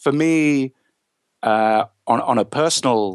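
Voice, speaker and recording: A man with an English accent, ordinary pitch variation, and a dry, close sound with no echo. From England. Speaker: author and therapist. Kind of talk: interview. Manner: halting, with frequent repetitions.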